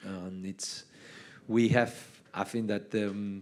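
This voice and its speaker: A man with a Spanish accent speaks very slowly in a fairly low pitch. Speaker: basketball head coach. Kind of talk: on-stage interview. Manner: halting.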